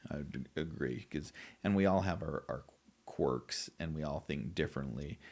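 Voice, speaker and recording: With an American accent, a man talks at a moderate pace in a very deep, low voice marked by vocal fry. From US West (southeast Idaho). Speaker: wound care therapist. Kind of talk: podcast interview. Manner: halting.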